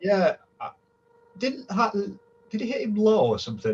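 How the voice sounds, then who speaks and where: This man speaks with a strong northern English accent and lively intonation. His pace is moderate. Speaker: boxing fan, panelist. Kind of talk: casual panel chat.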